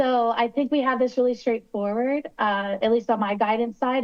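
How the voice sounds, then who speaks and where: Here a woman is speaking. She has a slight West Virginia accent. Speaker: attorney advising city council. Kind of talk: public meeting discussion. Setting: video call shown on screen.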